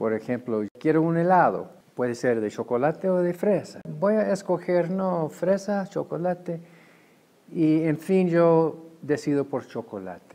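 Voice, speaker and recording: A man with an English accent and a high pitch, in a dark, mellow tone, with lively intonation at a fairly slow pace. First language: English (speaking Spanish). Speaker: head of a freethought organization. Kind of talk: interview. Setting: conference. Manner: halting.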